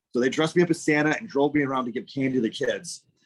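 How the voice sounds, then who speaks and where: A man speaks fairly quickly in a South Shore Massachusetts accent at a fairly high pitch. The sound is dry and close, with no echo. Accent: South Shore Massachusetts accent, non-rhotic. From US Northeast, southern Massachusetts South Shore. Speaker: English teacher, former political candidate. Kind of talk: casual interview chat.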